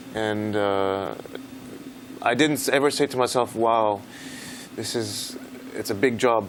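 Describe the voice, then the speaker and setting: Amid noticeable background noise, a man with a medium pitch talks at a fairly slow pace, with long, frequent pauses and fairly even intonation. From France / US (French-American). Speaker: orchestra conductor. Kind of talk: interview. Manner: halting.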